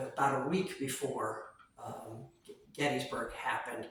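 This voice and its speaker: A man speaks at a moderate pace with a fairly high pitch. Audible room echo and noticeable background noise fill the recording. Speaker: museum tour guide. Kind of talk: guided tour explanation. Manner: hesitant, many fillers.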